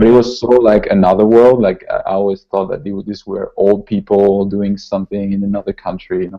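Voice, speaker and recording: With a French accent, a man with a fairly low voice speaks at a fairly quick pace in a monotone, flat intonation, his loudness swinging widely. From southern France, Toulouse. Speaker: concept artist. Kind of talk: interview. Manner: halting, many repetitions.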